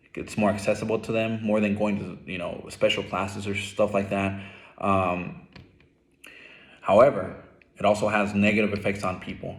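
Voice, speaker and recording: With an American accent, a man speaks at a moderate pace in a fairly low pitch, his intonation monotone and flat, with long, frequent pauses and audible room echo. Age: 20s. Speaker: student. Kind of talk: class presentation. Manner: hesitant, many fillers.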